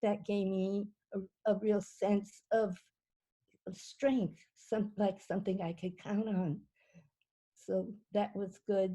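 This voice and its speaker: With an American accent, a woman speaks at a very slow pace with long, frequent pauses, her medium-pitched voice somewhat breathy, dark and mellow in tone, and monotone, flat in intonation. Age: 80s. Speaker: Japanese American incarceration survivor. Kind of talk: personal testimony. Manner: halting, many fillers and repetitions.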